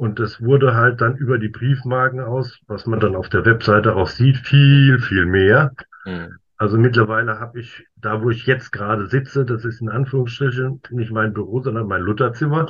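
A man speaks at a medium pitch, sounding somewhat breathy. His intonation stays fairly even. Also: moderate pace. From Worms, Germany. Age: 50s. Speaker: stamp collector. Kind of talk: casual interview. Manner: halting, many fillers.

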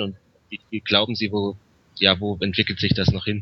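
A man's fairly low voice at a moderate pace. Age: 20s. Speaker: master's student. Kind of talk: interview. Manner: halting, many filler sounds.

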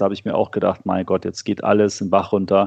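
The speaker is a man whose pitch is fairly low. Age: 40s. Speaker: financial magazine publisher. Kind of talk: interview. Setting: remote call from home office. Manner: hesitant, many filler sounds.

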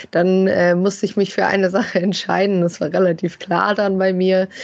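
Here a woman speaks at medium pitch and a moderate pace. Her intonation is monotone and flat. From Germany, Bielefeld. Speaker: football fan expert. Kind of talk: casual chat.

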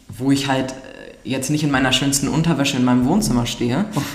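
A woman speaks with a very deep, low pitch. Room echo is audible and background noise is noticeable. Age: 20s. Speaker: nurse. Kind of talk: casual chat.

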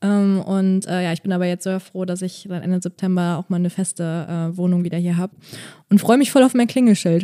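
In a very clean recording with a silent background and a dry, close sound with no echo, a woman with a dark, mellow tone speaks at a medium pitch and moderate pace with fairly even intonation. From Bonn, Germany. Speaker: stand-up comedian. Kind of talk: casual chat.

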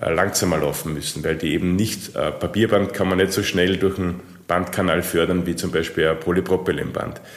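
This man's voice is very deep and low in pitch. He speaks at a moderate pace with ordinary pitch variation. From Austria. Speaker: packaging machinery sales manager. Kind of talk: interview.

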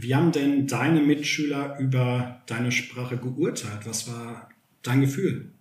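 Audible room echo surrounds a man speaking at a medium pitch. His pace is fairly slow and his intonation fairly even. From Germany, Sauerland (Westphalia). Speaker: podcast host and teacher. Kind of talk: casual chat.

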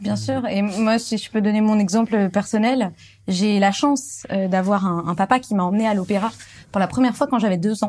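Woman at a medium pitch, somewhat breathy, at a moderate pace with ordinary pitch variation. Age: 20s. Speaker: actress and musicologist, classical music video creator. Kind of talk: casual chat.

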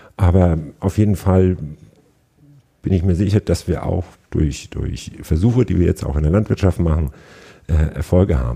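This man has a very deep, low pitch and a dark, mellow tone with vocal fry. He talks at a moderate pace with ordinary pitch variation. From northern Germany, Schleswig-Holstein. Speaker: agricultural business manager. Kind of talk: interview. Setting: in person, on location.

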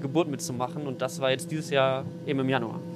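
Music runs in the background as a man talks at a very fast pace with fairly even intonation. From western Germany, NRW near Düsseldorf (Mettmann). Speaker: science journalist and content creator. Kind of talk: casual explanatory interview. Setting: outdoors at an S-Bahn station and on a train.

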